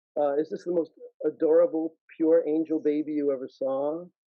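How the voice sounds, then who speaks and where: A man speaks with a New York accent. His pitch is fairly high. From New York, Brooklyn. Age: 60s. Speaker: caricaturist and illustrator. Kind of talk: guest talk in an online panel interview. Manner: animated.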